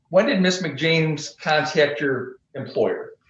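Amid light background noise and audible room echo, a man with an American accent talks at a fairly high pitch with ordinary pitch variation. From US Midwest. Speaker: lawyer. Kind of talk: witness examination. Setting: video call. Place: office. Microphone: video call.

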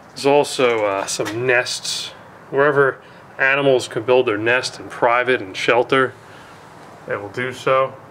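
Light background noise sits behind the speech. The pace is fairly slow, and the intonation fairly even. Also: man. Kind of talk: casual exploration commentary. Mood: admiring, calm. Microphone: phone near.

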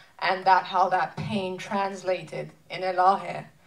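The speaker has vocal fry and talks at a very slow pace. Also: woman. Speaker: interviewer. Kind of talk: panel Q&A. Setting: stage with audience. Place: stage.

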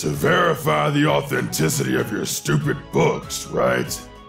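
With clear music in the background, a man puts on a character voice and speaks at a moderate pace. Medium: dub. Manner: irritated, then flustered.

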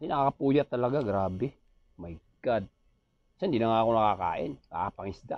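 In a Visayan accent, someone speaks at a fairly quick pace with an animated tone and lively intonation, the sound dry with no echo and the background quiet. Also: man. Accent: Visayan accent when speaking Tagalog. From Visayas, Philippines. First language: Cebuano (speaking Tagalog). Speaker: vlogger and aircraft ground mechanic; vlogger. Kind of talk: casual vlog monologue. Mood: joking, playful. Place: home room.

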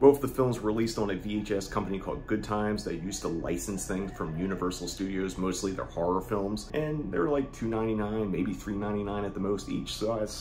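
Hardly pausing at all, a man talks with ordinary pitch variation over light background noise. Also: fairly low pitch for a man. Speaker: video host. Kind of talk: casual vlog chat. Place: home room.

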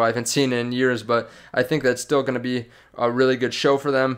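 A man talks at a fairly quick pace in a flat, monotone delivery against a quiet background. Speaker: stock market YouTuber. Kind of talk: casual video commentary. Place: home room. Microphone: studio mic.

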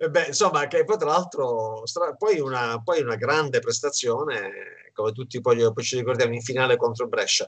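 At a fairly high pitch and moderate pace, a man talks with ordinary pitch variation over a quiet background. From Calabria, southern Italy. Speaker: sports website editor and show host; show host. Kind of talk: interview. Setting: video call. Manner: halting, repetitive. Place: home room. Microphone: video call.

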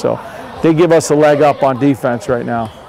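Light background noise sits behind a man whose sound is dry, with no echo. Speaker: head football coach. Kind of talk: interview answer. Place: stadium. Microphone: lapel.

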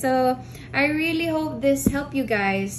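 Against clear background noise, a woman talks at a slow pace with ordinary pitch variation.

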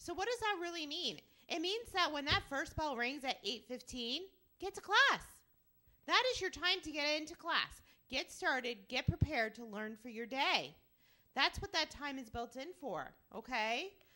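Against a quiet background, a woman projects a raised voice with a bright, sharp tone at a moderate pace, her pitch swinging very widely and her loudness rising and falling sharply. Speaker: school staff announcer. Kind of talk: school announcements. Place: studio. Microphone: handheld.

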